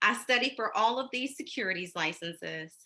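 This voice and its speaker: A woman speaks with a bright, sharp tone, some vocal fry and lively intonation over a quiet background. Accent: American. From US South, Columbus, Georgia. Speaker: banker. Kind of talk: presentation. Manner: conversational.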